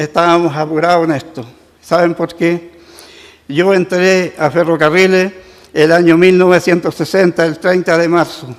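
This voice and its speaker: This man speaks at a fairly slow pace in a high voice. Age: 80s+. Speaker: retired railway worker. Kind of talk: public testimony at council session. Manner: halting.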